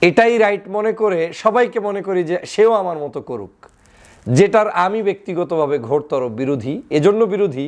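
A man with a high voice for his sex. His intonation is lively. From Bangladesh. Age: 30s. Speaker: political commentator. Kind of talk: political commentary monologue.

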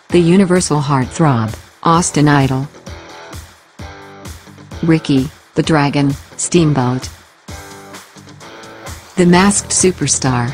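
A woman's very deep, low voice at a very slow pace, with ordinary pitch variation, very even loudness, long, frequent pauses and music in the background. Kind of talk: wrestling highlight recap narration.

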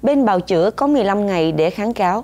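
A woman speaks at a fairly slow pace in a dark, mellow tone. Her fairly high pitch moves with lively intonation. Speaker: news anchor. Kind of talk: news reading. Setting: studio. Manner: formal.

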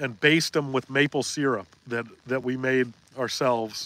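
At a moderate pace broken by long, frequent pauses, a man with an American accent speaks at medium pitch with fairly even intonation, the sound dry with no echo. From Maine, US. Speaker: fishing livestream host. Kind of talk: casual livestream chat. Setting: in a boat on a lake. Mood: relaxed, friendly. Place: boat. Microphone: phone near.

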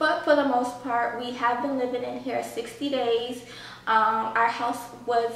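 A woman speaks at a moderate pace with a high pitch and fairly even intonation, her voice carrying audible room echo over light background noise. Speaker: home vlogger. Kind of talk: casual vlog chat. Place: home room.

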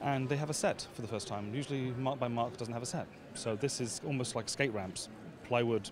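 Fairly quick pace and ordinary pitch variation, in a dry sound with no echo and noticeable background noise. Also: man. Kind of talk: interview answer. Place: hall. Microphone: handheld.

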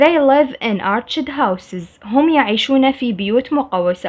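A woman with an Iraqi accent. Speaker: English teacher. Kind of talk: tutorial. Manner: slow.

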